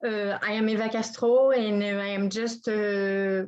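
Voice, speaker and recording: Her intonation is flat and monotone, and this woman speaks at a medium pitch. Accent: French. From France. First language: French. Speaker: new photography club member. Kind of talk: self-introduction. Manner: halting, searching for words.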